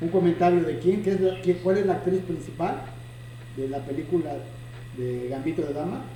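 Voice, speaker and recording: In a room with audible echo and noticeable background noise, a man with a high voice talks at a fairly quick pace, with ordinary pitch variation and long, frequent pauses. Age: 60s. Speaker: chess teacher and video host. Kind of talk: casual chat.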